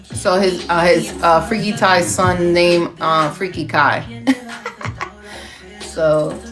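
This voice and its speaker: A woman with a fairly low voice speaks at a very slow pace, with long, frequent pauses, ordinary pitch variation, audible room echo and music playing in the background. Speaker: podcast host. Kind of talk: casual livestream chat. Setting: live stream. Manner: animated.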